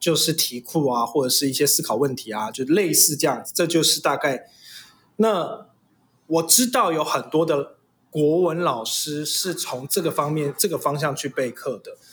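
This man has an unremarkable speaking voice, pitched fairly high with ordinary variation. He keeps a moderate pace. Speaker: father and host's husband. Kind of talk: casual chat.

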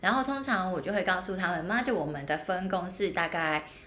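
With noticeable background noise behind her, a woman at a medium pitch speaks at a moderate pace with lively intonation. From Hong Kong. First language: Cantonese (speaking Chinese). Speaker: podcast co-host. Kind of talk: casual chat.

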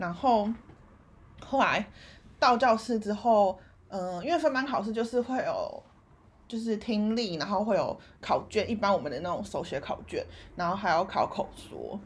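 A woman's fairly high, somewhat breathy voice at a moderate pace, with long, frequent pauses. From Taiwan. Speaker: podcast co-host. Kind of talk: casual chat. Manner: animated.

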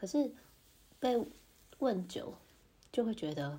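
The speaker goes at a very slow pace, somewhat breathy, with lively intonation. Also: woman. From Taiwan. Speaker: podcaster, mother in intercultural marriage. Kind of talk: casual monologue.

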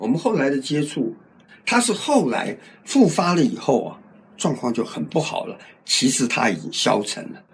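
At a moderate pace, a man with a fairly high voice and vocal fry swings widely in both pitch and loudness. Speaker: cancer survivor. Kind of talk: interview testimony. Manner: talkative.

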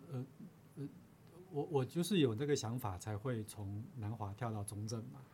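Noticeable background noise sits behind a man of medium pitch with lively intonation. He speaks at a moderate pace with long, frequent pauses. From Taiwan, Chiayi. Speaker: university professor. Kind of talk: interview. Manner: halting.

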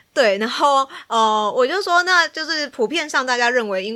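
A woman speaks with a Taiwanese accent in a bright, sharp tone. Her pitch swings very widely on a very clean recording with a silent background. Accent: Taiwanese Mandarin. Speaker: psychology student guest. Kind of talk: casual chat.

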